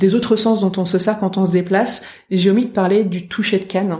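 Somewhat breathy, this woman speaks at a medium pitch. Her tone is dark and mellow, and her intonation is fairly even. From northern France. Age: 30s. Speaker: orientation and mobility instructor. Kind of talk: interview. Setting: in person at her workplace.

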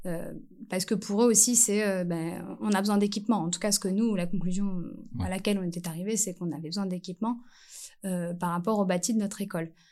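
A woman's dark, mellow voice at a very fast pace, with fairly even intonation. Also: medium pitch for a woman. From French Antilles. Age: 30s. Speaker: primary school teacher. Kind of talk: casual interview.

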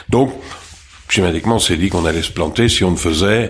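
Very deep, low male voice at a fairly quick pace over noticeable background noise. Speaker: restaurant franchise co-founder. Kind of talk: interview.

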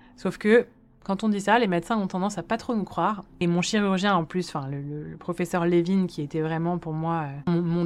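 Over a silent background on a very clean recording, a woman speaks fairly quickly at a fairly low pitch. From Paris, France. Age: 30s. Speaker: quadruple amputee and hand transplant recipient. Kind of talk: personal testimony. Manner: hesitant, frequent fillers and repetitions.

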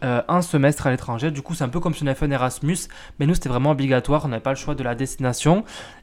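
A man speaks with ordinary pitch variation. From France. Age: 20s. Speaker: podcast host. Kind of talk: casual personal monologue. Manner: hesitant, many fillers.

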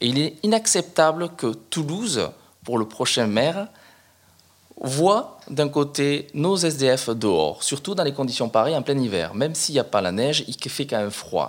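Very wide pitch swings at a fairly slow pace. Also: man, fairly high pitch for a man. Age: 40s. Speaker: police officer and mayoral candidate. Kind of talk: interview.

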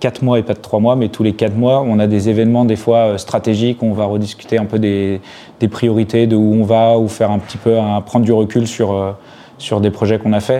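Over noticeable background noise, a man talks fairly quickly at medium pitch with monotone, flat intonation. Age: 30s. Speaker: startup CTO and co-founder. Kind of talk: interview. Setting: office. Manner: hesitant with fillers.

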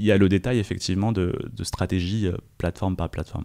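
On a very clean recording with a silent background, a man uses an ordinary speaking voice at fairly low pitch, talking at a fairly quick pace with ordinary pitch variation. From France. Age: 20s. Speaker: chess player and content creator. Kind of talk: interview conversation.

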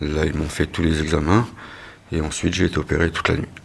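A man talks over noticeable background noise. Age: 40s. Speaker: injured delivery driver retraining as driving instructor. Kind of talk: personal testimony.

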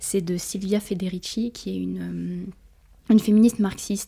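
A somewhat breathy, dark and mellow voice at a fairly slow pace, on a very clean recording with a silent background. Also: woman. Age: 20s. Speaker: feminist activist student. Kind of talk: interview. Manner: halting.

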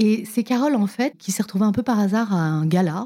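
Speaking at a very fast pace, a woman sounds somewhat breathy with a dark, mellow tone. Her pitch varies in an ordinary way. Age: 50s. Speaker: TV presenter. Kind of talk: casual interview. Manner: animated.

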